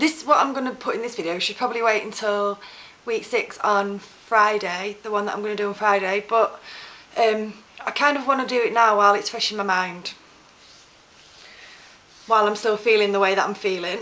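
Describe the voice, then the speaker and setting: Against noticeable background noise, a woman talks at a fairly quick pace with a fairly high pitch and ordinary pitch variation. She takes long, frequent pauses. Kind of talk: casual talk to camera. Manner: hesitant, stuttering.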